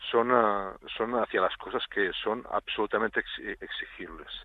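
A man speaks in a calm tone. His pace is fairly slow. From Catalonia, Spain (Tàrrega). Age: 40s. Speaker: basketball coach. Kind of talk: radio interview. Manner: halting, many repeated words.

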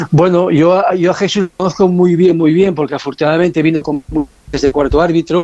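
At a fairly quick pace, a man talks in a high pitch with monotone, flat intonation and very even loudness, the sound dry and close with no echo. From Asturias, Spain. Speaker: former football referee. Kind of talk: radio interview.

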